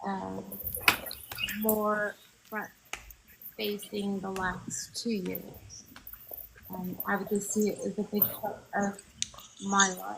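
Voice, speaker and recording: A woman with an American accent talks at a very slow pace. She leaves long, frequent pauses over noticeable background noise. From Oklahoma (Clinton). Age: 50s. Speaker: political candidate and Navy veteran. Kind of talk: interview. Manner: halting, many ums.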